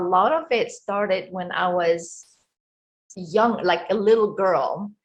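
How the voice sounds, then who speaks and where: A woman at medium pitch with an Egyptian accent, at a fairly slow pace. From Egypt, Cairo. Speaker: life coach. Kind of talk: interview.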